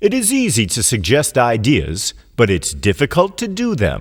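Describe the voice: Using a put-on character voice with a slightly husky edge and very wide pitch swings, the speaker keeps a moderate pace on a very clean recording with a silent background. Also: man, medium pitch for a man.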